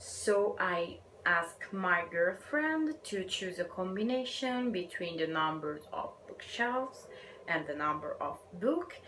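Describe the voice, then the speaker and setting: A woman with an Italian accent speaks very slowly in a medium pitch, making very wide pitch swings. Audible room echo and noticeable background noise fill the recording. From Italy. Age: 20s. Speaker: book vlogger. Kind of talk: casual vlog talk.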